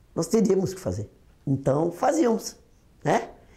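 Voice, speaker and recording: A woman speaks in a fairly low pitch. Her voice has a dark, mellow tone. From Brazil, Osasco (São Paulo). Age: 60s. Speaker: former union leader. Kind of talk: oral history testimony.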